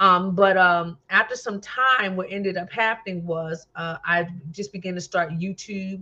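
A woman with an American accent and a medium-pitched, bright, sharp tone talks at a fairly slow pace with hardly any pauses. Her loudness swings widely while her intonation stays fairly even. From New Jersey. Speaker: minister and talk show host. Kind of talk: testimony.

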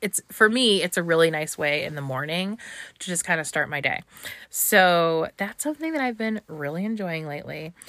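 An unremarkable speaking voice, a woman talks at a fairly low pitch and a moderate pace with ordinary pitch variation, the recording very clean with a silent background and the sound dry and close with no echo. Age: 30s. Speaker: podcast host. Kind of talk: solo podcast talk. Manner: casual, frequent laughter.

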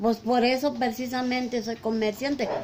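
A woman's high-pitched voice amid noticeable background noise. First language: Mixtec (speaking Spanish). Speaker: market vendor. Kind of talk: interview. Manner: halting.

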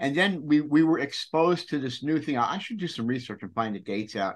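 Over a quiet background, a man with a normal speaking voice talks at a moderate pace, his fairly high pitch carrying lively intonation. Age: 60s. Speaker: podcast host. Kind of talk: casual interview. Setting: video call.

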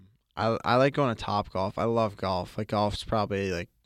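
A man with an American accent and a normal speaking voice talks at a moderate pace with ordinary pitch variation, in a very clean recording with a silent background. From Boston. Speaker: college ice hockey player. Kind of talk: interview.

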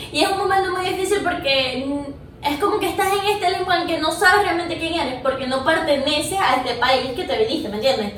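Amid audible room echo and noticeable background noise, a woman in a Venezuelan accent speaks at an extremely high pitch with lively intonation. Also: fairly quick pace. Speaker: filmmaker. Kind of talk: casual interview chat.

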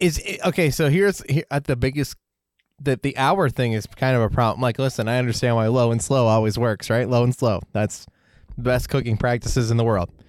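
An ordinary speaking voice belongs to a man talking at a fairly quick pace. His loudness is very even, with ordinary pitch variation. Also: medium pitch for a man, very clean recording, silent background. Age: 30s. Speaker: podcast co-host. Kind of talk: casual chat.

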